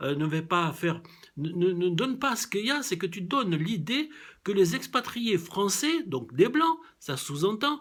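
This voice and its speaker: A man speaks in a high pitch at a fairly slow pace. His tone is animated, with very wide pitch swings. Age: 70s. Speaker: vlogger. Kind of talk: video commentary. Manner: halting, many hesitations.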